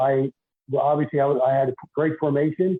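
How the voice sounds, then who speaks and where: Talking at a very fast pace, a man with a Philadelphia accent keeps a fairly high pitch and fairly even intonation. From Philadelphia, US. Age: 60s. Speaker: retired basketball referee and deacon. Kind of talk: podcast interview.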